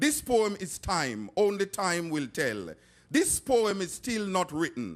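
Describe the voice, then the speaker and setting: A man talks at a very slow pace with a Jamaican accent. His pitch is high and swings very widely. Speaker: poet. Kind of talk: poetry reading.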